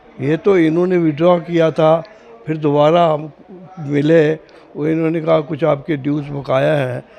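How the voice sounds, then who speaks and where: A man talks with fairly even intonation. Noticeable background noise runs under his voice. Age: 80s+. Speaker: aggrieved resident. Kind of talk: press interview statement.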